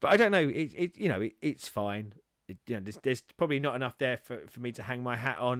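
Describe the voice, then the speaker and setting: A man with an English accent. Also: dry, close sound with no echo. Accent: English, mistaken for Australian by Americans. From England. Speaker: music reaction video host. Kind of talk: casual chat. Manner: halting, many repetitions and fillers.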